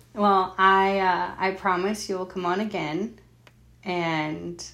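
Audible room echo surrounds a woman who speaks very slowly at medium pitch in a monotone, flat intonation. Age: 20s. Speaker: podcast host and mother. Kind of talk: casual chat.

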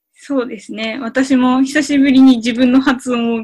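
A woman speaks at a fairly slow pace in a high voice. Her intonation stays fairly even. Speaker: Hungarian language learner and co-host. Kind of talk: language lesson chat.

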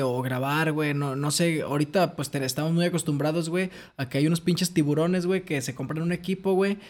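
In a very clean recording with a silent background, a man with a fairly high pitch speaks fairly quickly, his intonation fairly even. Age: 20s. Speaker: podcast host. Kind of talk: casual chat.

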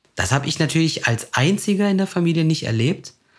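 This man talks fairly quickly, his voice somewhat breathy. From Germany, Turkish immigrant family. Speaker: podcast host. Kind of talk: casual chat.

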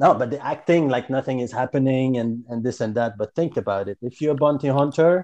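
The background is quiet, and the sound is dry and close with no echo. A man speaks at medium pitch in a Quebec accent, with ordinary pitch variation. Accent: Quebecois French. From Quebec, Canada. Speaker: podcast guest. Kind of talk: casual chat.

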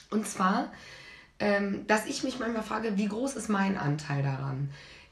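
A woman's voice with very wide pitch swings is heard amid noticeable background noise and audible room echo. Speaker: podcast co-host. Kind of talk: casual chat.

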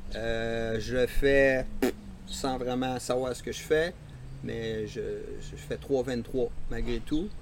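A man with a Quebec accent at a very slow pace, with big swings in loudness and long, frequent pauses. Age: 60s. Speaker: veteran runner. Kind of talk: casual interview. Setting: outdoors in host's yard.

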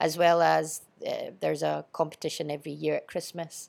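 With a strong Scottish accent, a woman speaks at a moderate pace on a very clean recording with a silent background. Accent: Scottish, fairly strong. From Edinburgh, Scotland. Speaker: school teacher and sports coach. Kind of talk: casual interview. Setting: studio.

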